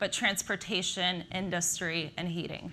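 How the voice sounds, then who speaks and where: Light background noise sits behind a woman with an American accent, who speaks in a bright, sharp tone at a moderate pace. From Slovakia, raised in the US. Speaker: nuclear energy industry professional. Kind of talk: conference talk. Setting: stage with audience. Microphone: lapel.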